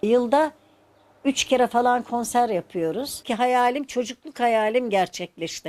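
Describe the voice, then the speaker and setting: A woman with a high pitch speaks at a very slow pace, her intonation lively. The recording is very clean, with a silent background. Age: 80s+. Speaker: amateur choir singer. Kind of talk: interview answer.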